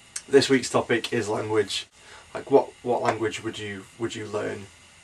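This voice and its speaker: Noticeable background noise runs under the recording. A man speaks at a moderate pace over it. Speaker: podcast host. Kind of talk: casual vlog chat.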